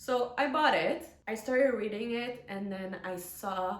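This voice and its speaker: A woman with a non-native accent talks at a fairly slow pace in an animated tone with ordinary pitch variation. Audible room echo and noticeable background noise fill the recording. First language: not English. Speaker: book vlogger. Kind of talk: casual book review to camera. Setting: home recording with ring light.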